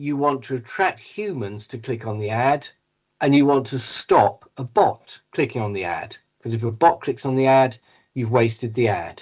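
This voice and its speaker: A British-accented man at a moderate pace, medium-pitched with lively intonation, against a quiet background. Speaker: tech company CEO, panel speaker. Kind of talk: conference presentation.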